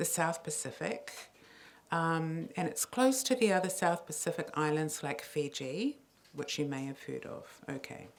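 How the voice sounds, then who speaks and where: A fairly slow voice with a New Zealand accent on a very clean recording with a silent background. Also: woman. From New Zealand, Samoan heritage. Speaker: poet and playwright. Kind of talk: public talk to an audience. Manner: conversational, audience-engaging.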